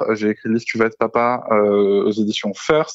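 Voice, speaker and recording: Moving along at a fairly quick pace, a man talks in a medium pitch. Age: 30s. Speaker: podcaster, author and therapist. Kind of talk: podcast interview. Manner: hesitant with fillers.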